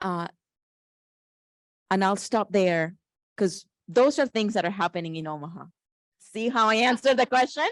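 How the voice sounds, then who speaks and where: At a moderate pace with long, frequent pauses, the speaker uses lively intonation and a Spanish accent in a dry, close sound with no echo and a quiet background. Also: woman, medium pitch for a woman. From Colombia. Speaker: panelist. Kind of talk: panel discussion.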